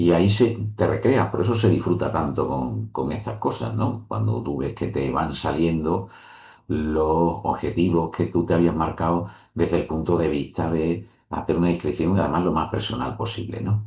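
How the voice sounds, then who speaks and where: A man speaks with a very deep, low pitch and vocal fry. His intonation is lively and his pace is moderate. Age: 60s. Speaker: author and professor. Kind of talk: interview.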